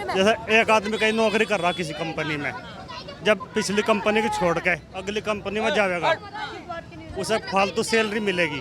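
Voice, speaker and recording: Over crowd noise in the background, a man talks in a high pitch with ordinary pitch variation. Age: 60s. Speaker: local resident interviewed on street. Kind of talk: street vox pop interview.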